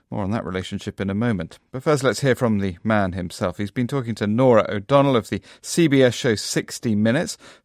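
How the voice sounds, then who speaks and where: A man with a plain, everyday voice talks at a fairly quick pace with hardly any pauses, medium pitch and ordinary pitch variation. The sound is dry and close with no echo, on a very clean recording with a silent background. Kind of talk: news reading. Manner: formal, measured broadcast delivery.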